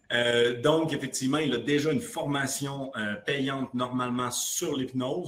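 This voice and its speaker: Noticeable background noise behind a man at a fairly slow pace, medium in pitch with ordinary pitch variation. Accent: slight Quebec. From Quebec. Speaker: app founder, podcast host. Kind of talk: podcast interview. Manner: hesitant, many fillers.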